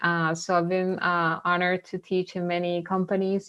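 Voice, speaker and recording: A woman's monotone, flat delivery with a Venezuelan accent. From Venezuela, then US from age 15. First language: Spanish. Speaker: mindfulness facilitator. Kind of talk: webinar talk. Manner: halting.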